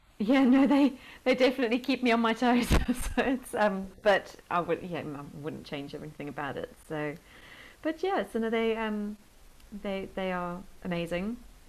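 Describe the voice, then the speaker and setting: Speaking in a South African accent at a moderate pace, a woman with a fairly high pitch makes very wide pitch swings and big swings in loudness. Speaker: health and life coach. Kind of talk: interview podcast. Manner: hesitant, many fillers.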